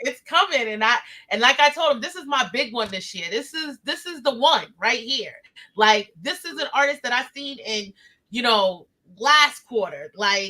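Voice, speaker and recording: A woman with a high pitch speaks at a moderate pace in a raised, projected voice, animated and bright, sharp in tone, with lively intonation and big swings in loudness. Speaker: interview show host. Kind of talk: casual interview.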